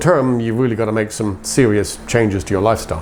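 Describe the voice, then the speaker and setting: A man talks at a very fast pace in a medium pitch. Noticeable background noise sits behind him. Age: 60s. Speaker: interviewer. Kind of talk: interview.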